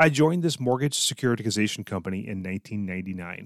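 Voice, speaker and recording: In a very clean recording with a silent background, a man talks at a fairly quick pace with ordinary pitch variation and a fairly low pitch. It is a plain, everyday voice, dry and close with no echo. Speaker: leadership podcast host, tech executive. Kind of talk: scripted monologue.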